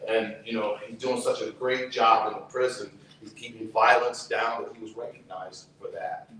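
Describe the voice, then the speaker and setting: Noticeable background noise sits behind a man speaking at a moderate pace. His loudness swings widely. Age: 60s. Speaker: activist, brother of a prisoner. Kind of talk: testimony. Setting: outdoors.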